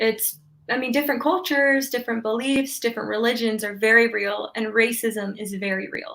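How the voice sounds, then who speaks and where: A woman talks at a fairly quick pace with a fairly high pitch. Her tone is bright and sharp, with ordinary pitch variation. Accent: American. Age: 20s. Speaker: sociology student. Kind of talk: interview.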